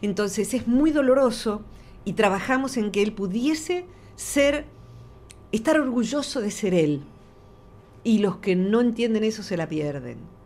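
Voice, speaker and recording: A woman speaks at a fairly high pitch and a fairly slow pace, with long, frequent pauses. Her pitch swings very widely. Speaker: psychologist; radio guest. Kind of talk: radio interview. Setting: studio.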